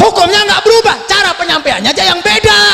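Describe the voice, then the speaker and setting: Amid noticeable background noise, a man speaks in a raised, projected voice at a moderate pace with very wide pitch swings. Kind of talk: preaching, religious talk. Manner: loud, emphatic.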